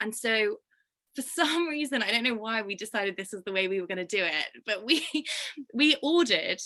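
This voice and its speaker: A woman in a British accent, fairly high-pitched and fairly quick, with a bright, sharp tone, lively intonation and long, frequent pauses. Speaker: fashion brand co-founder. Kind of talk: casual chat. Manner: animated.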